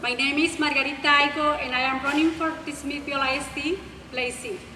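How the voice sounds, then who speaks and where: A woman projects her high voice at a fairly quick pace with fairly even intonation. Room echo is audible and there is noticeable background noise. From Mexico. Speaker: school board candidate. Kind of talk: prepared candidate speech. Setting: public forum with audience.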